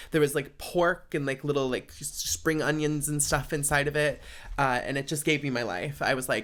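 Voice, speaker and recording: With vocal fry and ordinary pitch variation, the man speaks at a fairly high pitch. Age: 20s. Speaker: podcast host. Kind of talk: casual chat. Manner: casual, filler-heavy.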